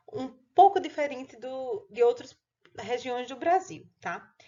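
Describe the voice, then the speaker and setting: The woman's intonation is lively. She speaks at a fairly slow pace. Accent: northeastern Brazilian. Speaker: pathology teacher. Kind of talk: lecture.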